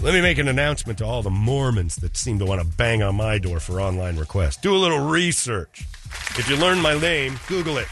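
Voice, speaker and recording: A man with a medium-pitched voice talks at a fairly quick pace, his pitch swinging very widely, against noticeable background noise. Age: 50s. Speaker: radio host. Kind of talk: casual chat. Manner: animated.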